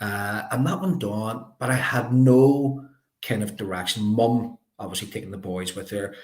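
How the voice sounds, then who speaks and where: With a Belfast accent, a man speaks at a fairly slow pace and medium pitch, using ordinary pitch variation, with audible room echo around him. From Northern Ireland, North Belfast. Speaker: life coach. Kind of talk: interview. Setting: live video stream.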